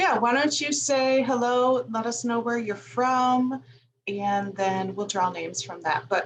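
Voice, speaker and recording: A woman with a slight Chicago accent at fairly high pitch, with ordinary pitch variation. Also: fairly slow pace. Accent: slight Chicago-area. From US Midwest, Northwest Indiana near Chicago. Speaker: livestream host. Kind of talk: casual livestream chat. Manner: animated.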